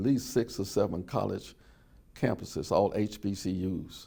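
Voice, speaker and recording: A man with an Alabama accent talks at a fairly slow pace, fairly low in pitch with ordinary pitch variation and vocal fry. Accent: Southern US (Alabama). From US South, Birmingham, Alabama. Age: 70s. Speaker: oral history interviewee, civil rights witness. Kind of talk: oral history testimony.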